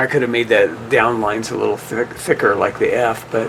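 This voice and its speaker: A man talks at a moderate pace. Noticeable background noise runs throughout. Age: 60s. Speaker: window painter. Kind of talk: tutorial. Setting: on site at a restaurant.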